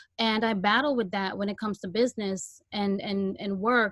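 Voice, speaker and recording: With a Guyanese accent, a woman talks at a moderate pace in a medium pitch, her intonation fairly even. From Guyana, then Brooklyn New York. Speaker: podcast host. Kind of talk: Q&A on video call launch party. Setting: video call.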